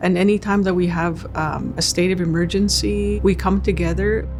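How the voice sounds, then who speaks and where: A quiet woman talks at a moderate pace and a fairly low pitch against noticeable background noise. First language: Cree. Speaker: First Nations chief. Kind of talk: interview testimony.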